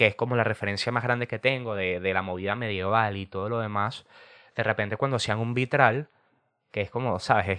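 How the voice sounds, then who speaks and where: A man speaks at a moderate pace in a fairly low pitch, his tone bright and sharp against a quiet background. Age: 20s. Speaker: podcast host. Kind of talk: casual monologue. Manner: animated.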